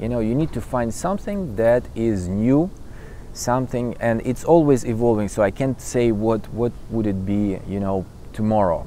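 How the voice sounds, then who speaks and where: The voice has a dark, mellow tone, ordinary pitch variation and a moderate pace. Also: man, medium pitch for a man. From Ukraine. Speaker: conductor. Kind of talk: interview answer.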